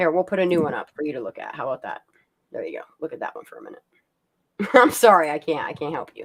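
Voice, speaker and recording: A woman talks at a very fast pace. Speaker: live stream host. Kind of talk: casual chat. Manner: clear.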